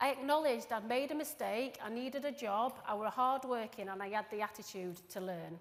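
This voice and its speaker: A woman speaks with a Yorkshire accent at a moderate pace and a fairly high pitch. Her pitch varies in an ordinary way, and the room echo is audible. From northern England. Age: 40s. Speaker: recruitment professional. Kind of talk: conference presentation. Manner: casual.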